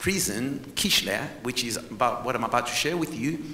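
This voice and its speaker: A man with a fairly high pitch talks with ordinary pitch variation, with audible room echo and noticeable background noise. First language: not English. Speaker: historian and tour guide. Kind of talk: presentation lecture to conference audience. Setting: stage with audience. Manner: animated.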